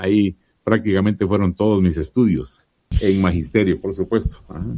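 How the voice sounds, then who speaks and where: At a moderate pace, a man with a very deep, low pitch and a dark, mellow tone speaks with ordinary pitch variation. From Guatemala, Chiquimula. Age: 60s. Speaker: radio announcer and commercial voice-over artist. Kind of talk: interview.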